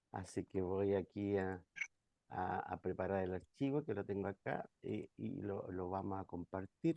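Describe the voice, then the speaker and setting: Soft-spoken and fairly low in pitch, a man talks at a fairly slow pace, his sound dry and close with no echo against a quiet background. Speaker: pastor. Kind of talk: online class presentation.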